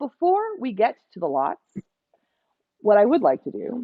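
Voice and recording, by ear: A woman talks at a moderate pace in a medium-pitched voice with a slightly husky edge and very wide pitch swings. The sound is dry and close, with no echo.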